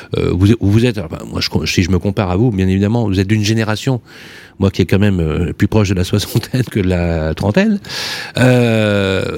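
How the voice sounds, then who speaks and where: This is a man with a fairly low pitch. His pace is moderate, and his pitch varies in an ordinary way. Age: 50s. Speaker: radio host. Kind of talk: radio talk show. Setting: studio. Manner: animated.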